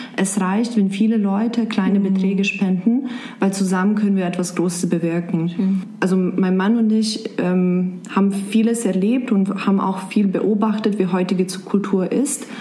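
A woman with a Serbian accent talks at a moderate pace and medium pitch, with hardly any pauses and very even loudness, while room echo and noticeable background noise are audible. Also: fairly even intonation. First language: Serbian (speaking German). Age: 20s. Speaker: blogger and office worker. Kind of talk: interview. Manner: halting.

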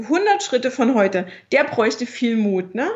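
At a very slow pace, a woman speaks in a somewhat breathy voice with fairly high pitch. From Dresden area, Saxony (East Germany). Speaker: entrepreneur and mother. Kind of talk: interview.

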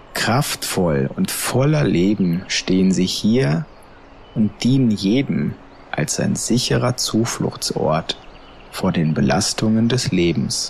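Over noticeable background noise, a man with a fairly low pitch speaks at a very slow pace in a gentle, soothing tone, with very wide pitch swings and very even loudness. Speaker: meditation guide and psychiatric care podcast host. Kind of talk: guided meditation. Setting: podcast recording. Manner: slow, soft, soothing, calm; gentle, hypnotic, unhurried.

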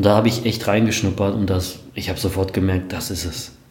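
Audible room echo and noticeable background noise surround a man with a very deep, low pitch. He keeps a moderate pace and fairly even intonation. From Germany, Sauerland and Hamm (Westphalia). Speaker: online marketer. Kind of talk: interview. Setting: office, livestream.

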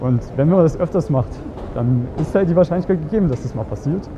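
The delivery is fairly quick with ordinary pitch variation, set against noticeable background noise. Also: man. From Germany. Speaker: dating coach and podcaster. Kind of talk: casual vlog-style coaching monologue. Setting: outdoors on the street.

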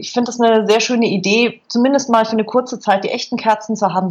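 A woman speaks in a somewhat breathy voice. Her pace is very fast. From Bavaria, Berchtesgaden. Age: 40s. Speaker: food blogger and filmmaker. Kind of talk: interview.

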